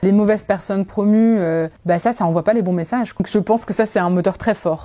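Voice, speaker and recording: A woman's dark, mellow voice at a fairly quick pace, with ordinary pitch variation. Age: 30s. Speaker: startup founder. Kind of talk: testimony. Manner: hesitant, many fillers.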